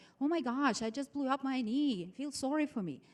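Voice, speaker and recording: A high-pitched woman's voice with a non-native accent. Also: very clean recording, silent background. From outside the United States. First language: not English. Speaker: motivational speaker. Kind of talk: seminar presentation. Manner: animated.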